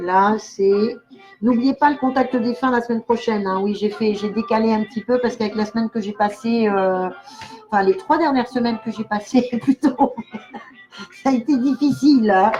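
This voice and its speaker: With music in the background, a woman talks at a moderate pace in a fairly high voice with ordinary pitch variation. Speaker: clairvoyant. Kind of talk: live stream chat. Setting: live video stream. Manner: animated.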